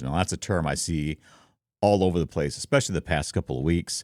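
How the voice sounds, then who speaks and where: Vocal fry with ordinary pitch variation in a dry, close sound with no echo and a very clean recording with a silent background. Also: man. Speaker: content creator. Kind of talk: tutorial. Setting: home studio. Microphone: close mic with foam windscreen, room reflection.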